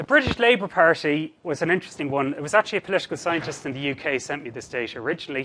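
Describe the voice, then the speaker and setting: In a Cork accent, a man rattles along very fast with hardly any pauses. His fairly high voice has lively intonation and big swings in loudness. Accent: Cork Irish. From Ireland, Cork. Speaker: statistics researcher. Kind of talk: lecture.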